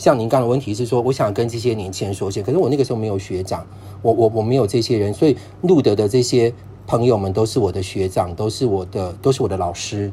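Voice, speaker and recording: A dark, mellow tone at a very fast pace, somewhat breathy. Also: man, ordinary pitch variation. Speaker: long-term HIV patient. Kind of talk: casual chat.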